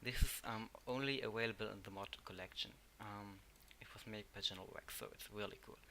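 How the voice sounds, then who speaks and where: The loudness swings widely from moment to moment. The speaker has a German accent. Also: man, fairly quick pace. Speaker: tech tutorial youtuber. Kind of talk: tutorial. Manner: halting.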